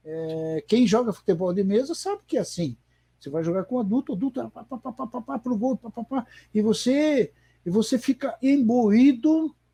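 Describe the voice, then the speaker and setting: With music in the background, a man speaks at a moderate pace in an extremely high pitch, his intonation lively and his loudness swinging widely. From Paraná, Brazil (Londrina). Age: 60s. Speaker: veteran table football player and former federation president. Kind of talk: interview. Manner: halting.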